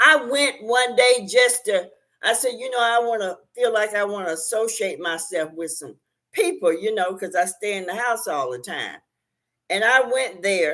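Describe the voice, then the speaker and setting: Speaking at a moderate pace, a woman with a fairly high pitch and a bright, sharp tone sounds animated, with lively intonation and big swings in loudness. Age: 60s. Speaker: YouTube talk show host. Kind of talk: casual livestream chat.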